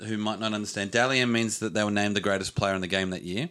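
A man talks at a very fast pace in an Australian accent. His pitch is fairly low and his tone bright and sharp. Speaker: sports podcast host. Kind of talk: casual chat.

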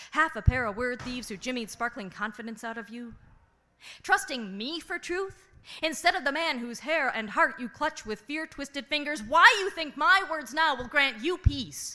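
Bright and sharp in tone, a woman's high, raised and projected voice moves at a moderate pace with lively intonation and big swings in loudness. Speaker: guest host and feature poet. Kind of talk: spoken word poem performed for a slam audience. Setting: stage with audience. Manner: intimate, narrative, emotionally intense.

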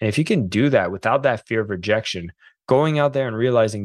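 Against a quiet background, a man with an unremarkable speaking voice and medium pitch talks at a fairly quick pace. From Quebec / French Canada. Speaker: author and sales coach. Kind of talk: interview.

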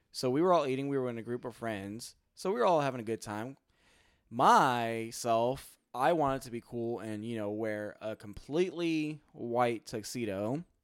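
In a very clean recording with a silent background, a man with a plain, everyday voice talks at a moderate pace, medium in pitch, with ordinary pitch variation. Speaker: podcast co-host. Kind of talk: casual chat.

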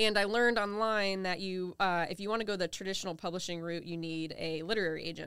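Very fast and in an American accent, a woman speaks with fairly even intonation at a medium pitch on a very clean recording with a silent background. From US South, Charleston South Carolina Lowcountry. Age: 30s. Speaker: novelist. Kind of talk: interview. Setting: in person.

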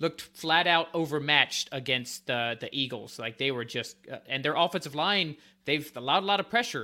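A fairly high-pitched man with an American accent, a plain, everyday voice and ordinary pitch variation, on a very clean recording with a silent background. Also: moderate pace. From North Carolina, Winston-Salem. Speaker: football analyst. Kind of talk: casual chat.

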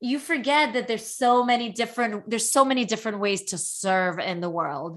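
A plain, everyday voice with an American accent moves at a moderate pace with lively intonation over a quiet background. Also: woman. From Brooklyn, New York (emigrated from Soviet Union at 8). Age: 40s. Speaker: author. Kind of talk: interview conversation.

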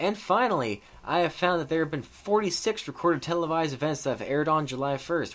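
A man's fairly high voice with lively intonation, a fairly quick pace and noticeable background noise. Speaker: wrestling history podcaster. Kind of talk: casual storytelling podcast monologue with profane DJ-style patter and ad-libs. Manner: relaxed, animated, irreverent and sweary, playing a radio DJ bit; jokey, informal, addresses listeners as y'all and brother.

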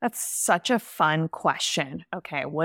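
With an American accent, a woman speaks in a very deep, low pitch. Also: dry, close sound with no echo. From California. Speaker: business strategist. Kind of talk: casual interview chat.

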